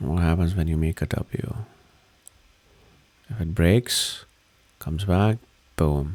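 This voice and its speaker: A man talks at a very slow pace in a relaxed tone, his pitch very deep and low. He uses ordinary pitch variation and leaves long, frequent pauses. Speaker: crypto market commentator. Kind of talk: casual chart analysis talk. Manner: slow, relaxed pace; hesitant, many fillers.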